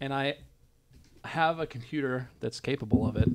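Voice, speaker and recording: This man talks at a medium pitch with fairly even intonation. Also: very clean recording, silent background. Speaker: law student and stream co-host. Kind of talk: casual chat. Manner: quiet.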